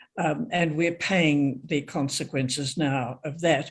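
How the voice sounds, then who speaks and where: A woman speaks at a fairly slow pace in an Australian accent. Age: 80s. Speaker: panelist, former public servant in aged care policy. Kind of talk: panel discussion. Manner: hesitant, with fillers.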